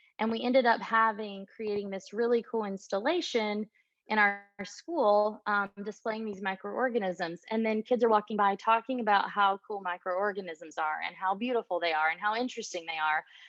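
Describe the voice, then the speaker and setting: A woman talks at a moderate pace in a plain, everyday voice. Her pitch sits in the medium range and varies in an ordinary way. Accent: American. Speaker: art educator. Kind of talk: lecture. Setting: video call.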